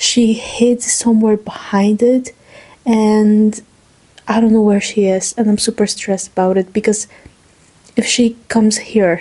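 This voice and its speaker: A woman with a non-native accent speaks at a fairly high pitch in a flat monotone. Her loudness stays very even, and she pauses long and often. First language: not English. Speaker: student vlogger. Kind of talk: casual vlog monologue.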